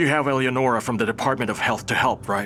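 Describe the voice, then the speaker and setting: A man's put-on character voice at a very fast pace, very even in loudness, over clear background noise. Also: medium pitch for a man. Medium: fan dub. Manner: curt, commanding.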